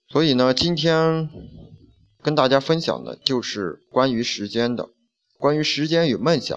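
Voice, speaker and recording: An unremarkable speaking voice from a man, fairly high in pitch and fairly slow, over a quiet background. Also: ordinary pitch variation. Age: 20s. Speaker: podcast host. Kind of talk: reading aloud.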